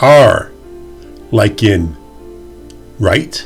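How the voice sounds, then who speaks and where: With music playing in the background, a man with a Canadian accent talks at a very slow pace with lively intonation. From Canada. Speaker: English pronunciation teacher. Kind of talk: pronunciation lesson to camera. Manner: clear, slow.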